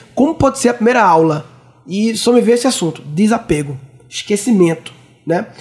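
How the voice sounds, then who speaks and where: Speech at a moderate pace over noticeable background noise. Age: 30s. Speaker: podcast host. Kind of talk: casual chat.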